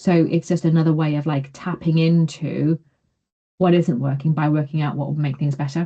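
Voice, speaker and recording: A woman's very deep, low voice with a dark, mellow tone, somewhat breathy, flat and monotone, at a moderate pace. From northeast England, Consett, County Durham. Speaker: realist evaluation researcher, session host. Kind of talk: webinar Q&A discussion.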